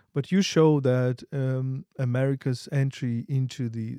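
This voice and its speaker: Speaking at a fairly slow pace with a Ukrainian accent, a man has a medium-pitched voice with a dark, mellow tone, captured dry and close with no echo. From Ukraine. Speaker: podcast host, philosopher. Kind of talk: interview.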